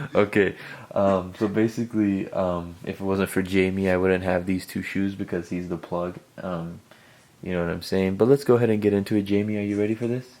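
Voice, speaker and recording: A soft-spoken man at a fairly quick pace, his intonation fairly even. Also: fairly low pitch for a man. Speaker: sneaker YouTuber. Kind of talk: casual sneaker review video.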